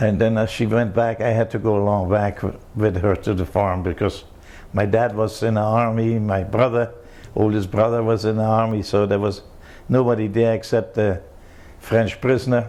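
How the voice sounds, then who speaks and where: Fairly low male voice with a German accent, a dark, mellow tone, monotone, flat intonation, very even loudness and a moderate pace. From Germany, East Prussia. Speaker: war refugee and oral history interviewee. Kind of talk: life history interview. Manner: halting.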